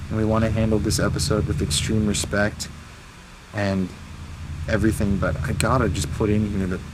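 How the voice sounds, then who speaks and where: A man with a fairly low voice speaks quietly over noticeable background noise. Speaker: paranormal investigator vlogger. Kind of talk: on-location ghost hunt vlog. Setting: outdoors in park at night. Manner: quiet, lowered voice.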